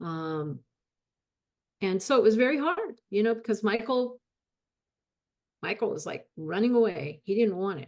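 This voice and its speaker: With a West Coast accent, a woman speaks at a moderate pace in a fairly high voice, using long, frequent pauses, very wide pitch swings and big swings in loudness. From Los Angeles, California. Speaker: guest. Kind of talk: testimony. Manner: halting, many repetitions.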